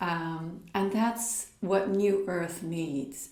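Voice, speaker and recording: There is audible room echo as a woman with a Dutch accent speaks at a medium pitch with ordinary pitch variation. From Netherlands. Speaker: spiritual coach. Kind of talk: talk with practical exercises.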